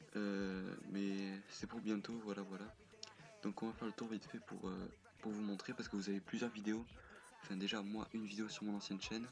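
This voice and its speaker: A soft-spoken man's fairly low voice, monotone and flat, at a moderate pace. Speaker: gaming youtuber, server founder. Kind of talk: casual gameplay commentary. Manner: halting, many fillers.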